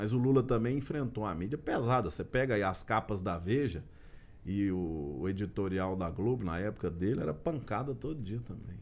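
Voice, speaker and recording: The speaker is a man with an unremarkable speaking voice, pitched fairly low. He talks at a moderate pace with lively intonation. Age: 30s. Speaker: state legislator. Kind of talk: casual interview.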